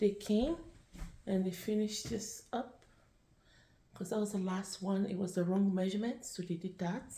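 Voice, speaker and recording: A soft-spoken woman talks at a moderate pace in a medium pitch, somewhat breathy with a dark, mellow tone. Long, frequent pauses run through her speech. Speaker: home vlogger. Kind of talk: casual vlog. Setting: at home.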